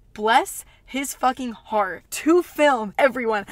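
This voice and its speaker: A woman speaks in an American accent with a high pitch and an animated tone. Her pitch varies in an ordinary way, and there is noticeable background noise. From US South. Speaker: podcast host. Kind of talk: casual storytelling.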